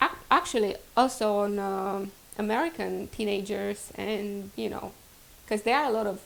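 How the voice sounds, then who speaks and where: The speaker has a Romanian accent. The pace is moderate. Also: woman. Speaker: vlogger. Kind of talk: casual vlog introduction.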